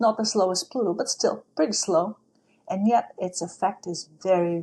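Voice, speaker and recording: A woman speaks with a non-native accent at medium pitch. Her pace is moderate. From outside the United States. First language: not English. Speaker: astrology teacher. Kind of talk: casual talk.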